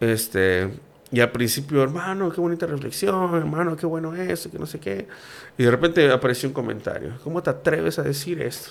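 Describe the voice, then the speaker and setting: A man speaks in an ordinary speaking voice at a fairly high pitch, fairly quickly and with lively intonation. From Mexico, Campeche. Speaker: food reviewer and youtuber. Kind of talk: casual chat.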